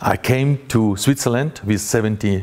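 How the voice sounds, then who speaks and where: Ordinary pitch variation in a Russian accent, with noticeable background noise. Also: man. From Russia (Grozny, Chechnya). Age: 40s. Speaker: journalist. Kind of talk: conference talk. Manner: halting, many fillers.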